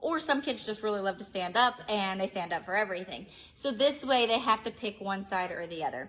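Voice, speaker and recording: Here a woman speaks at a fairly quick pace. Her pitch is fairly high. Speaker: preschool teacher, early childhood educator. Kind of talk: tutorial. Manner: loud; animated.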